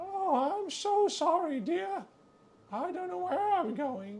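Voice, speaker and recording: A put-on character voice at an extremely high pitch makes very wide pitch swings while moving at a fairly slow pace. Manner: frail, apologetic.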